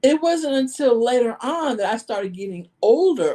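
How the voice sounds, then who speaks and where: Loud and high in pitch, a woman with an American accent speaks at a moderate pace with a dark, mellow tone and very wide pitch swings. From New York. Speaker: life coach. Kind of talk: podcast interview.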